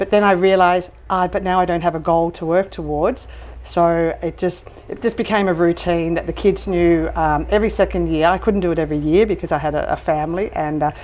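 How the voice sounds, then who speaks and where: With an Australian accent, a woman speaks at a fairly quick pace, her pitch fairly low and her intonation fairly even. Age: 60s. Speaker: restaurant owner and trekker. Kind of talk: interview. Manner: halting, many fillers.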